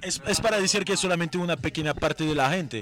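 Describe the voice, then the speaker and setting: A man with a high pitch talks at a very fast pace. His pitch variation is ordinary, and there is noticeable background noise. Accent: French. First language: French (speaking Spanish). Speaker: cannabis brand representative. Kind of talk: casual chat. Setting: at a festival event.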